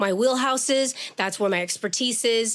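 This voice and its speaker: The speaker is a woman with a plain, everyday voice. She talks at a moderate pace and a fairly high pitch, with fairly even intonation. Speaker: education activist, longtime educator. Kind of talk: podcast interview.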